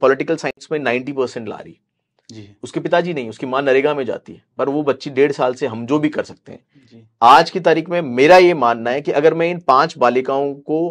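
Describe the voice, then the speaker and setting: A man with a fairly high pitch talks at a moderate pace with hardly any pauses. His pitch variation is ordinary, but his loudness swings widely. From Rajasthan, Nagaur district (Marwar); Rajasthan, India. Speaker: retired army officer; interviewee. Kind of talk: interview. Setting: studio. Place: studio. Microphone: lapel.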